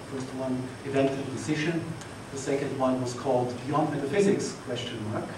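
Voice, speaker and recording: Audible room echo and noticeable background noise accompany a man speaking with fairly even intonation. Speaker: conference host. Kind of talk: opening remarks. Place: hall.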